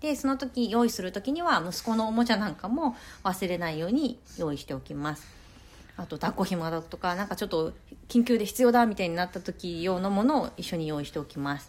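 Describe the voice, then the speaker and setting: With an unremarkable speaking voice, a woman talks at a fairly quick pace in a medium pitch, her intonation lively and her loudness swinging widely. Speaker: podcaster, working parent and grad student. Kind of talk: solo talk. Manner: casual and polite.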